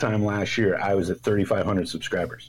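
There is noticeable background noise as a man talks at a fairly slow pace in a medium-pitched voice. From Canada, Toronto area. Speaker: knifemaker and YouTuber. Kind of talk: casual chat.

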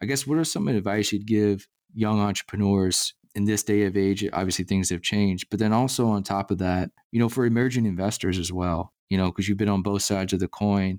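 A man speaks in a plain, everyday voice at a fairly quick pace, his pitch fairly low and his intonation fairly even, with very even loudness on a very clean, dry, close recording with no echo and a silent background. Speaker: podcast host. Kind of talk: casual interview.

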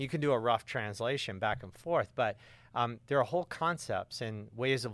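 An ordinary speaking voice with an American accent moves at a fairly quick pace with ordinary pitch variation, on a very clean recording with a silent background. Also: man. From US South, suburban Atlanta, Georgia. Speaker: author and climate activist. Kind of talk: interview. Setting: studio.

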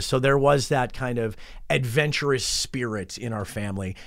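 A man talks with a western New York accent at a medium pitch. The recording is very clean, with a silent background. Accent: western New York American. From western New York (Rochester). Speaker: college radio operations manager. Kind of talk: interview. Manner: hesitant, many fillers.

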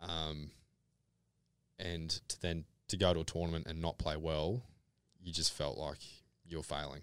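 A man speaks at a moderate pace in a Queensland accent, his very deep, low voice staying flat and monotone over a very clean recording with a silent background. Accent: Australian (Queensland). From Brisbane, Australia. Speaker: electrical apprentice, former pro golfer. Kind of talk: casual interview chat.

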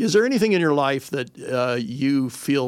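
With an American accent, a man talks in an ordinary speaking voice at a fairly high pitch and a moderate pace. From Whittier, Los Angeles area. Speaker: community radio host. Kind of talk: interview conversation.

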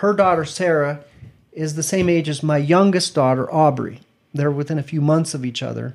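A man with an American accent speaks in an unremarkable speaking voice, fairly high-pitched, with fairly even intonation. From Idaho, near Boise. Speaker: church member telling his life story. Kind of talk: interview, life story.

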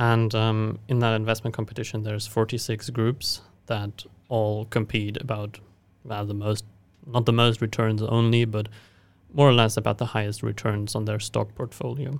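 A man with a German accent speaks at a medium pitch and moderate pace. His intonation is flat and monotone. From Germany. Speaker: university student. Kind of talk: podcast interview. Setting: studio.

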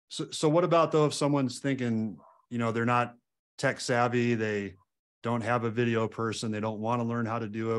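The background is quiet as a man speaks at a medium pitch. His pace is fairly quick. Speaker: podcast host. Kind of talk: interview conversation. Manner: upbeat, enthusiastic.

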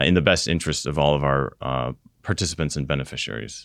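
On a very clean recording with a silent background, a man speaks with an American accent and ordinary pitch variation. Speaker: retirement plan investment officer and Air Force veteran. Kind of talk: interview.

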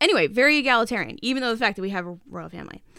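A woman with an American accent, a bright, sharp tone, a very fast pace and ordinary pitch variation, on a very clean recording with a silent background. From US Northeast. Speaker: podcast co-host, author. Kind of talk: casual chat.

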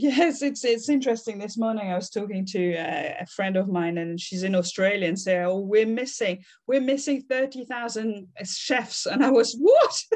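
A woman with a French accent talks at a fairly high pitch with lively intonation. She speaks with hardly any pauses. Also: moderate pace. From France. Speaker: customer experience consultant. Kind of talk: interview.

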